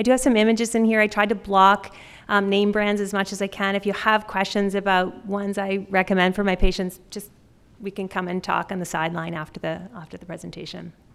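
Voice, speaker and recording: Talking at a fairly quick pace with a slight Canadian accent, a woman keeps a medium pitch and a monotone, flat intonation while her loudness swings widely. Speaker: pediatric dentist. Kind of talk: conference talk. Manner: fast.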